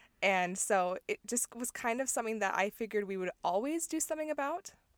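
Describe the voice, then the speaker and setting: In an American accent, the voice runs at a very fast pace with an animated tone and lively intonation, sounding dry and close with no echo. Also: woman. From US Midwest, Chicago area, later Utah. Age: 20s. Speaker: podcast co-host. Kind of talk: casual chat. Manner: animated, laughing often.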